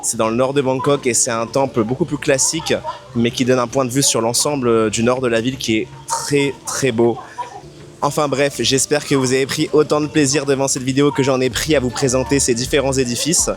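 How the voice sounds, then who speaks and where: Over noticeable background noise, a man talks at a moderate pace with medium pitch and fairly even intonation. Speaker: travel vlogger. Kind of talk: travel vlog walkthrough. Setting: outdoors at temple. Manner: hesitant, many fillers.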